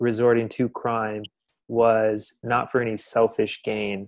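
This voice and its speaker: At a very slow pace, a man with an American accent and a medium pitch speaks in a monotone, flat intonation against a quiet background. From Texas, Dallas. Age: 20s. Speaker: podcast host, film series host. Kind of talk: casual film discussion.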